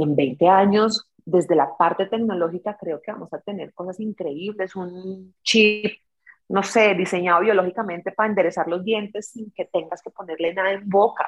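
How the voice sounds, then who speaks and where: With a normal speaking voice, a woman of medium pitch talks at a moderate pace, her loudness swinging a lot, in a dry, close sound with no echo. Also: ordinary pitch variation. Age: 40s. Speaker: dentist and social media content creator. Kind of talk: casual interview.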